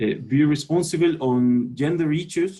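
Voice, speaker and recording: Speaking very slowly with a Chilean accent, a man uses a dark, mellow, somewhat breathy tone with ordinary pitch variation. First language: Spanish. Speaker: sport sociologist. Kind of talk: panel presentation. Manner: halting.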